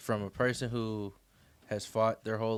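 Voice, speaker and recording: Very clean recording with a silent background. A man talks at a fairly low pitch in a monotone, flat intonation. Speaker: book club podcast host. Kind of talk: casual discussion. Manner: stuttering, halting.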